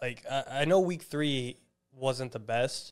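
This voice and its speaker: An unremarkable speaking voice, a man's at medium pitch, moves at a fairly slow pace with ordinary pitch variation over a quiet background. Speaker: fantasy football analyst. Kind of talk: casual chat. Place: studio. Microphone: studio mic.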